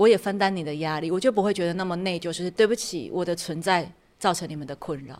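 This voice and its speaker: Very clean and silent in the background, the recording catches a woman talking at a very fast pace with big swings in loudness. Her pitch is fairly low, with ordinary pitch variation. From Taiwan, Tainan. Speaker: podcast host and startup consultant. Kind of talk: casual interview chat.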